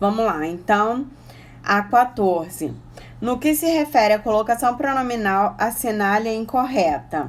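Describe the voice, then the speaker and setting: Here is a woman with an unremarkable speaking voice and a fairly high pitch. She talks at a fairly slow pace with lively intonation. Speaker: Portuguese teacher for exam prep. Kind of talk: online exam-prep lesson. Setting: Instagram live stream.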